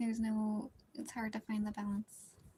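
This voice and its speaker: A woman's fairly high voice, monotone and flat in intonation, at a very slow pace over music in the background. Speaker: streamer. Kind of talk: casual chat while drawing on stream. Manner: can get very loud at times.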